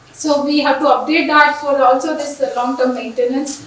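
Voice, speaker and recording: A woman talks at a fairly quick pace in a high voice. Noticeable background noise and audible room echo surround her. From India, Andhra Pradesh. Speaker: engineering professor. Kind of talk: conference lecture. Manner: fast.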